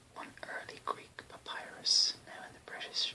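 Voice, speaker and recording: Someone whispers very slowly in an Irish accent over noticeable background noise. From Ireland. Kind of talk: ASMR reading of an encyclopedia-style text. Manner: whispered.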